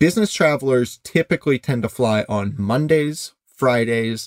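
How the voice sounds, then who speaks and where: Recorded with a dry, close sound and no echo, a man talks at a medium pitch in a Midwestern American accent. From US Midwest. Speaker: cheap flight deals founder. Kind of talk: interview.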